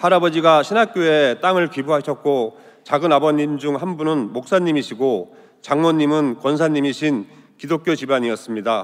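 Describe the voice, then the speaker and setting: A man talks at a moderate pace, his pitch fairly high. He has an ordinary speaking voice. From Gangwon Province, Sokcho, South Korea. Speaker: lawyer giving testimony. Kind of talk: testimony. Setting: church.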